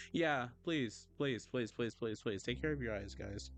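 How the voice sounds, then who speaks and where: A soft-spoken man talks at a moderate pace with lively intonation against a quiet background. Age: 20s. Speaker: vtuber artist streamer. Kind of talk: casual livestream chat while drawing. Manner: animated. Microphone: poor mic, plans new one.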